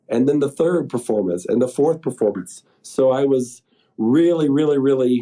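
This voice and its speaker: A man with a Colorado accent and a dark, mellow tone, at a moderate pace with ordinary pitch variation. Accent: American (Colorado). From Colorado, US. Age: 60s. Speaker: pulmonary hypertension patient. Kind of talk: testimony.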